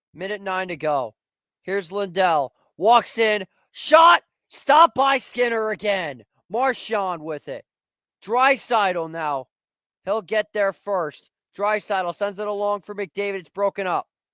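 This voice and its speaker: A man speaks in a raised, projected voice with high pitch and a bright, sharp tone at a fairly slow pace. His loudness swings a lot, and the sound is dry and close with no echo. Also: lively intonation. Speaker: sports play-by-play commentator on watch party stream. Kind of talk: live commentary.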